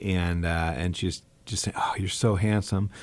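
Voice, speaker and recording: The background is silent and the recording very clean. Intonation stays fairly even as the man talks. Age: 40s. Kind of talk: casual interview chat. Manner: hesitant, many fillers.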